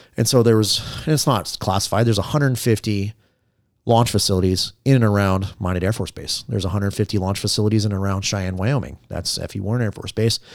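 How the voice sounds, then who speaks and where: Speaking at a very fast pace with an American accent, a man with a fairly low pitch comes through on a very clean recording with a silent background. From US Midwest, Southeast Ohio. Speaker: police trainer and former police officer. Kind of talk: casual chat. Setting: studio.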